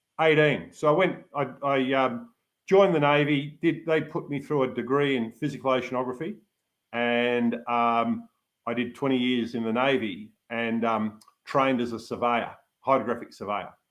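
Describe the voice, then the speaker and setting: Moderate pace and medium pitch from a man with an Australian accent, ordinary pitch variation throughout. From Australia, Melbourne suburbs (born in Manchester, emigrated as child). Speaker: yachtsman, retired navy officer and hydrographic surveyor. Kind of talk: interview.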